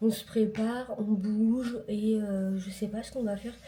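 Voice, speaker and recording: A woman's dark, mellow voice at medium pitch, somewhat breathy, with fairly even intonation. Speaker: vlogger. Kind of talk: casual vlog to camera. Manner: soft-spoken, hushed.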